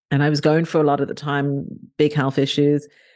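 A woman's dark, mellow tone in a southern English accent, dry and close with no echo, over a quiet background. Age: 40s. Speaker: author and blogger. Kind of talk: interview conversation.

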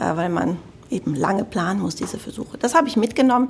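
A somewhat breathy woman's voice, fairly high in pitch, with lively intonation and a Cologne accent. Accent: German from Cologne, audible. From Germany, Cologne (Rhineland). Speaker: health tech sales executive. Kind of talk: interview. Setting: studio.

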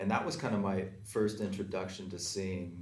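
In a Canadian accent, a man with a very deep, low pitch speaks at a moderate pace, somewhat breathy, with fairly even intonation and audible room echo. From Calgary, Alberta. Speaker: tap dancer. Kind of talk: panel discussion.

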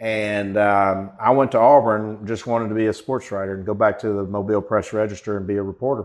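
A man with an Alabama accent talks at a fairly quick pace and fairly low pitch, with hardly any pauses. His intonation is monotone and flat, and the background is quiet. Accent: Southern US (Alabama). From rural southern Alabama, US South. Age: 50s. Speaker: marketing agency founder and CEO. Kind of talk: interview. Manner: halting, many fillers.

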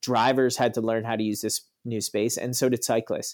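A man's medium-pitched voice in a very clean recording with a silent background. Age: 30s. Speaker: city councillor. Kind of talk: casual interview.

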